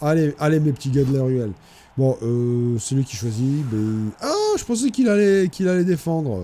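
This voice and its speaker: With a fairly high pitch, a man talks at a moderate pace. His pitch swings very wide. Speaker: gaming video creator. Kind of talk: gameplay commentary. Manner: stammering repetitions.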